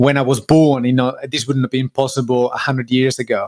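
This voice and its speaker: A man with an Argentine accent talks at a fairly quick pace and a medium pitch, his intonation monotone and flat. The recording is very clean with a silent background, and the sound is dry and close with no echo. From Argentina. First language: Spanish. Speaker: business owner. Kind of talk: podcast interview. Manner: hesitant, many fillers.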